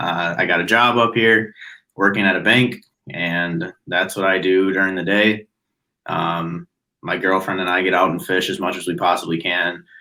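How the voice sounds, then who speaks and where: A man with a very deep, low voice and a Midwestern American accent speaks at a moderate pace with fairly even intonation. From US Midwest, Chicago suburbs. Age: 20s. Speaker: podcast guest, bank worker. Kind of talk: casual chat.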